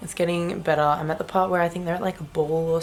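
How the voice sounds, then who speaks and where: Music plays behind a woman with an Australian accent. Her intonation is monotone and flat. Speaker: book vlogger. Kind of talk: casual vlog.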